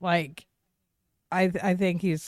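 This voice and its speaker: A voice with an American accent speaks at a very slow pace, dry and close with no echo. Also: woman. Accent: slight Southern twang, noticed by easterners. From Oklahoma. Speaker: podcast co-host. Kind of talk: casual chat.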